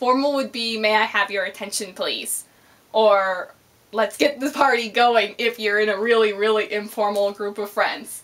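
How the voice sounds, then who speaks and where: With a normal speaking voice, a woman speaks at a moderate pace, fairly high in pitch, with fairly even intonation. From Canada. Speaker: vlogger. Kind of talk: casual vlog, accent tag.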